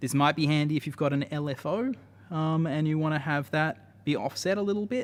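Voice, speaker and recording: A man with an Australian accent talks at a fairly quick pace. His pitch is fairly high, with ordinary pitch variation. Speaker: music tech developer presenting products. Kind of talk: live stream tutorial. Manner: casual with many fillers.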